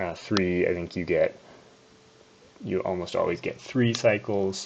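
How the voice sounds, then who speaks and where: Through noticeable background noise comes a man with a very deep, low pitch. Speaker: gaming youtuber. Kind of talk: gameplay commentary. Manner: soft-spoken. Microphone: poor audio quality.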